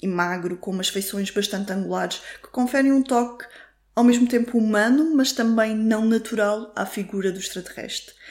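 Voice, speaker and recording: This woman's fairly high voice moves at a moderate pace, with ordinary pitch variation. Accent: European Portuguese. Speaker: podcast host. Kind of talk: solo film review monologue.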